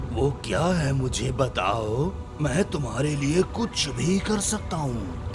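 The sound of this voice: Loud music plays behind a man doing a cartoonish character voice. His pitch is medium and his pace fairly slow.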